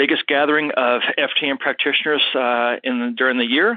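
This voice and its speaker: This man has an unremarkable speaking voice, with medium pitch and a moderate pace. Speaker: health coach and show host. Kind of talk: live call-in Q&A. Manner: casual, relaxed.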